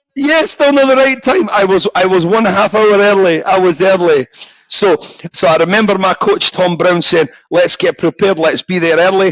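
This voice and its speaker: A man with a high pitch and lively intonation, moderate pace, very even loudness, and dry, close sound with no echo. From Scotland. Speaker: former professional boxer. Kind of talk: casual podcast interview. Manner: halting, repeats words.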